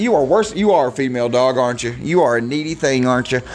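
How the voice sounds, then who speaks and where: Noticeable background noise sits behind a man who talks fairly quickly with an American accent. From Michigan. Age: 40s. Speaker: podcast host. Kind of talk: casual solo monologue.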